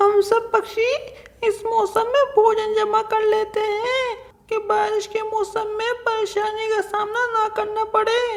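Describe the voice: Doing a cartoonish character voice, a woman speaks at an extremely high pitch and a fairly slow pace with monotone, flat intonation.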